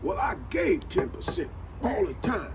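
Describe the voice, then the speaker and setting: A man talks at a moderate pace as music plays in the background. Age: 80s+. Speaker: elderly storyteller. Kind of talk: casual monologue. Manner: animated.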